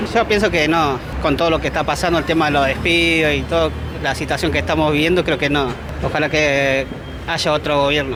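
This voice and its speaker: A man with a fairly high pitch speaks at a fairly quick pace and very even loudness over noticeable background noise. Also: fairly even intonation. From Argentina, Moreno (Buenos Aires province). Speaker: bricklayer's assistant interviewed in the street. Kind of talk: street interview.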